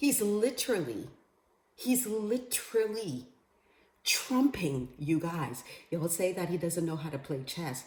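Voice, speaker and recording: Animated and somewhat breathy, a woman speaks at a fairly low pitch with very wide pitch swings. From Bahamas. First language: Creole. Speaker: vlogger. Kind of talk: political commentary monologue.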